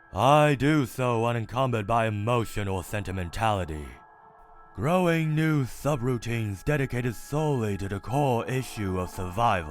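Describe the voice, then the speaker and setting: Over music in the background, a man in a put-on character voice keeps a calm tone, medium pitch and moderate pace. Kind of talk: comic dub, multiple character voices. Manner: calm, detached.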